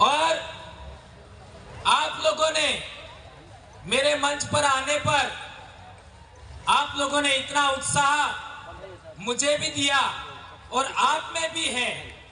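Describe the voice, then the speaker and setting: A man talks in a raised, projected voice at an extremely high pitch, very slowly, with long, frequent pauses and fairly even intonation. Noticeable background noise and audible room echo surround him. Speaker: activist speaker, teacher. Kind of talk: public speech at rally. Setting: stage with crowd in tent. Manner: forceful.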